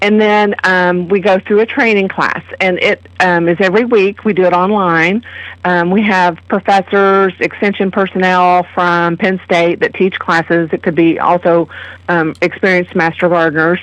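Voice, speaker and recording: Speaking at a moderate pace with a slight Kentucky accent, a woman keeps a medium pitch, fairly even intonation and very even loudness. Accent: slight Kentucky hillbilly twang. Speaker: master gardener program coordinator. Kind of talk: radio interview.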